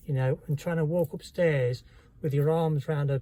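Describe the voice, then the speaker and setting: A man with a dark, mellow tone speaks at a fairly high pitch, somewhat breathy and with fairly even intonation. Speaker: vlogger. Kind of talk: personal testimony. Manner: halting.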